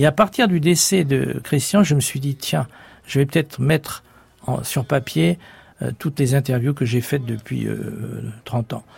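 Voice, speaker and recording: His intonation is lively. The man's voice sounds somewhat breathy. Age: 70s. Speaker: author. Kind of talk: interview. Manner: halting.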